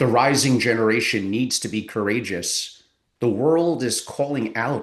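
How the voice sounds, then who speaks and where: A man with a plain, everyday voice, medium pitch, ordinary pitch variation and a moderate pace, against a quiet background. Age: 60s. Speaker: family office advisor. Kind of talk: interview.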